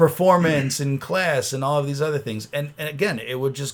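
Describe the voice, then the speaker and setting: A man with an American accent and a normal speaking voice, fairly high in pitch, at a moderate pace with ordinary pitch variation. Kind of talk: casual podcast conversation.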